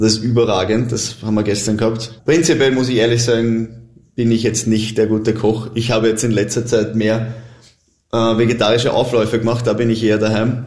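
A man with a Viennese accent talks at a fairly quick pace in a monotone, flat intonation and very even loudness, with audible room echo. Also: medium pitch for a man. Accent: Viennese Austrian German. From Austria, Vienna. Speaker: professional footballer. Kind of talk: casual interview.

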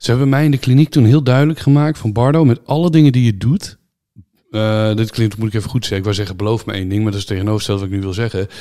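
Talking very fast, a man uses a medium-pitched voice, dark and mellow in tone, with ordinary pitch variation, on a very clean recording with a silent background. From Netherlands. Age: 30s. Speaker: YouTuber and streamer. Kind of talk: casual interview.

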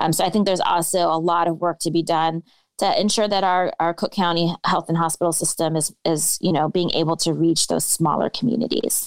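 A woman with an American accent in an unremarkable speaking voice, fairly low-pitched and fairly quick, with fairly even intonation, very even loudness and hardly any pauses, dry and close with no echo. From California Bay Area. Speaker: county commissioner candidate, politician. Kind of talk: interview. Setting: remote virtual call.

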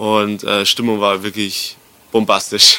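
His pitch lands in the medium range. This voice belongs to a man. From Bavaria, rural area near Erding. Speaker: DJ and music producer. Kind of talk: casual interview. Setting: hotel lobby.

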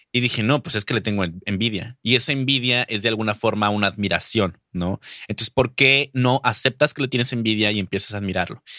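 A man with a Mexican accent speaks at a fairly quick pace in a bright, sharp tone at a medium pitch, recorded very cleanly against a silent background with a dry, close sound and no echo. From Mexico, Durango. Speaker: podcast host and booktuber. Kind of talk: casual interview chat.

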